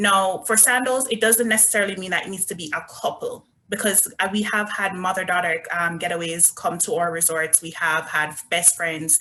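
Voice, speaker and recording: Woman with a Jamaican accent at a medium pitch, ordinary pitch variation, a moderate pace, hardly any pauses and noticeable background noise. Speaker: resort sales representative. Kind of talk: virtual presentation.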